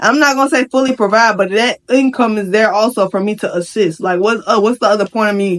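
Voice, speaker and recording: A woman's animated tone, fairly high in pitch, at a fairly quick pace. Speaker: vlogger. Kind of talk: rant. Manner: fast.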